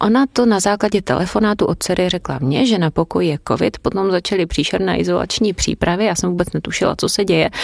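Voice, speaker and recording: A woman with vocal fry speaks at a very fast pace and medium pitch, with hardly any pauses, very even loudness, ordinary pitch variation and a dry, close sound with no echo. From Brno, Moravia, Czechia. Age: 30s. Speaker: foreign language teacher. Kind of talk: personal testimony.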